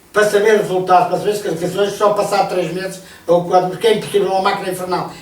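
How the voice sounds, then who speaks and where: A man with a high-pitched voice speaks over noticeable background noise, with audible echo in the room. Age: 60s. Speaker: retired sports association administrator. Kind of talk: radio interview. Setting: radio studio. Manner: halting, many repetitions.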